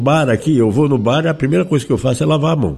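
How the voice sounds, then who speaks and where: This man has an unremarkable speaking voice, pitched in the medium range and showing ordinary pitch variation. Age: 60s. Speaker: zika survivor sharing experience. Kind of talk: interview testimony.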